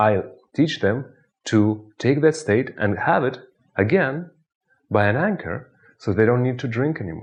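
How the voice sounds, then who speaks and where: A man with a Russian accent speaks at a medium pitch and a fairly slow pace, his lively intonation broken by long, frequent pauses, his voice somewhat breathy against a quiet background. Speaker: hypnotist. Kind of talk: tutorial with guided hypnosis exercise.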